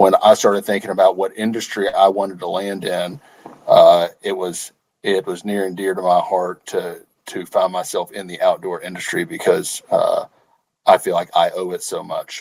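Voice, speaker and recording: In a Southern US accent, a man talks at a moderate pace with big swings in loudness. The sound is dry and close, with no echo. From Arkansas. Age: 30s. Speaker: company executive. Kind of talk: interview. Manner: halting, many repeated words.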